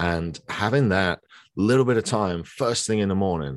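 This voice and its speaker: There is a quiet background behind this man. His fairly low voice has lively intonation. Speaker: entrepreneur. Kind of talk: casual interview chat. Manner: halting.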